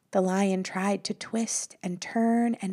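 A natural reading voice moves along with fairly even intonation.

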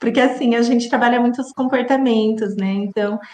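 High pitch and fairly even intonation in a woman's voice. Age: 40s. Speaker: entrepreneur, food allergy company owner. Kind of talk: interview. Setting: live stream.

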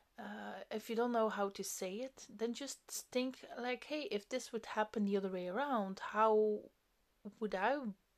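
Someone with a non-native accent speaks at a fairly slow pace with fairly even intonation. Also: woman. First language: not English. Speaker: podcast host. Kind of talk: solo monologue, self-help talk. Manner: casual, hesitant with fillers.

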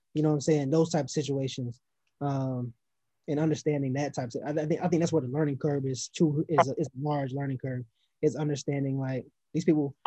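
A man's somewhat breathy voice, dark and mellow in tone, with monotone, flat intonation at a fairly quick pace, in a dry, close sound with no echo. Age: 20s. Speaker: entrepreneur and former NFL player. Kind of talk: casual interview.

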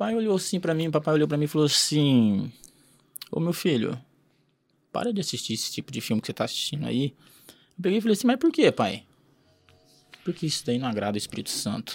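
A man at a very fast pace, with very wide pitch swings, long, frequent pauses and music in the background. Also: fairly high pitch for a man. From Paraná, Brazil. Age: 30s. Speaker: entrepreneur. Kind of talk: casual interview storytelling.

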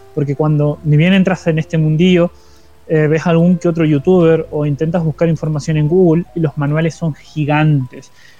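Over music in the background, a man with a fairly high pitch speaks in a monotone, flat intonation. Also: moderate pace. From Argentina, Paraná, Entre Ríos. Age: 20s. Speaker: tabletop roleplaying YouTuber and podcast co-host. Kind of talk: casual chat. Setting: live stream.

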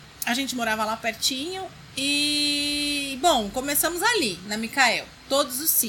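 A woman with a high voice speaks in a raised, projected voice with lively intonation at a fairly slow pace. Noticeable background noise and audible room echo surround her. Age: 40s. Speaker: designer and blogger. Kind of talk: interview chat. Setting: in person.

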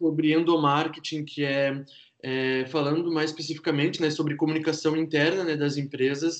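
With monotone, flat intonation, a man speaks at a fairly high pitch. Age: 20s. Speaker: marketing professional. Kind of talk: podcast interview. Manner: hesitant, many fillers.

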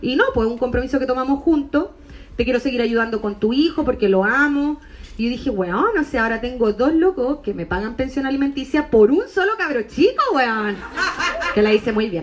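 Against noticeable background noise, a woman with a Chilean accent talks at a fairly quick pace in a high pitch, with lively intonation and an animated tone. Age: 30s. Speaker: stand-up comedian. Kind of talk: stand-up.

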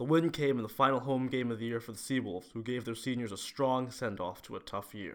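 Very fast, with hardly any pauses, a man speaks at a medium pitch with ordinary pitch variation. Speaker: sports editor. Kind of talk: scripted newsreading. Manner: brisk, polished sportscaster delivery.

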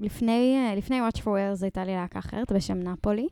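Woman's dark, mellow voice at a fairly slow pace with ordinary pitch variation, on a very clean recording against a silent background. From Israel, Ein Sarid near Netanya. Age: 20s. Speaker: singer and lyricist. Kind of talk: casual interview.

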